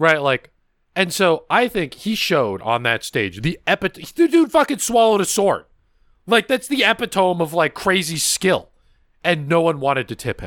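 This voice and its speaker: In a very clean recording with a silent background and a dry, close sound with no echo, a man with an American accent speaks at a high pitch with very wide pitch swings. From California. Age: 20s. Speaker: podcast host and streamer. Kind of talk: casual chat. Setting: livestream.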